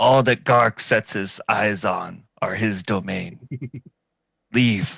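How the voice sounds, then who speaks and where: This put-on character voice is raspy and gruff, moving at a very slow pace. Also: man, medium pitch for a man. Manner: grunting, gruff.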